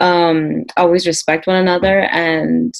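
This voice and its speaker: An American-accented woman speaks at a fairly slow pace. Her pitch is fairly low. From US, Peruvian parents. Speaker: panel guest. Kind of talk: casual chat.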